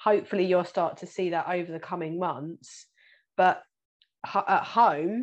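Moderate pace from a woman with a British accent, medium in pitch with ordinary pitch variation, over a quiet background. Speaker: financial planner and podcast host. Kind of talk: casual interview.

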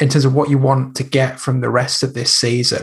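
A man talks in a somewhat breathy voice. His pitch is medium. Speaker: podcast host. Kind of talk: interview.

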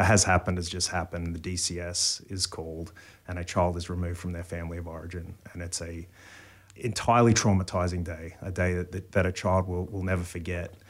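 In an Australian accent, a man with a very deep, low pitch speaks at a moderate pace in a very clean recording with a silent background. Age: 40s. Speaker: pastor. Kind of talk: casual chat. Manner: halting.

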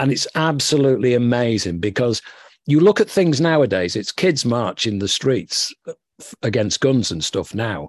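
With a northern English accent, a man speaks at medium pitch with very wide pitch swings, in a dry, close sound with no echo over a quiet background. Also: moderate pace. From northern England. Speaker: author and former music executive. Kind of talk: interview.

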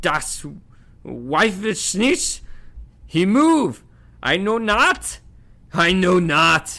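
A man speaks very slowly in a high, put-on character voice, bright and sharp in tone, with big pitch swings on a very clean recording with a silent background.

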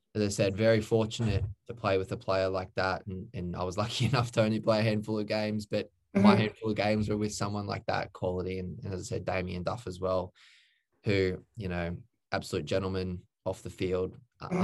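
In an Australian accent, the speaker goes at a very fast pace with monotone, flat intonation. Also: man. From Queensland, Australia (Redlands). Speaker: former professional footballer. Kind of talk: casual interview. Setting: online call.

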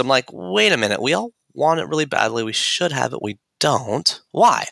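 A man's bright, sharp tone with vocal fry, recorded dry and close with no echo. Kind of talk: podcast interview.

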